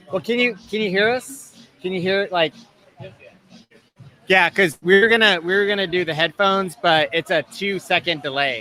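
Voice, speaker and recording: Raising and projecting his voice at a high pitch, a man talks at a moderate pace with ordinary pitch variation amid noticeable background noise. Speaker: live stream host. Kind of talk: casual chat. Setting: bar, live stream. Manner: loud.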